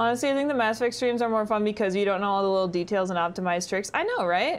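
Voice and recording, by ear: A woman at medium pitch, very fast in pace, with lively intonation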